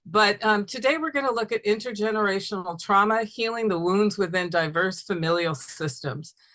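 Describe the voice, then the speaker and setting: A lively, bright and sharp woman's voice at medium pitch, moderately paced with hardly any pauses. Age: 60s. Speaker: family therapist. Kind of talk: webinar lecture.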